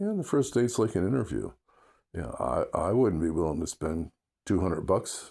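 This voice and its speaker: The recording is very clean, and the background silent. A man talks in vocal fry with very wide pitch swings. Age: 70s. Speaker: vlogger giving dating opinions. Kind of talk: casual monologue. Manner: hesitant, with fillers.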